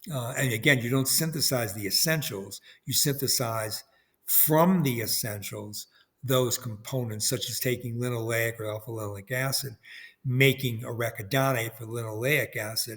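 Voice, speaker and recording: A man's medium-pitched voice with fairly even intonation, in a very clean recording against a silent background. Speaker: biochemistry professor. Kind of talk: lecture. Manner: fast.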